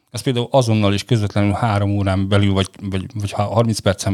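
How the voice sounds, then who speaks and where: The recording is very clean with a silent background, the dark, mellow tone coming through dry and close with no echo. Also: man. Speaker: air pollution expert. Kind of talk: casual discussion. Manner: fast, rushed.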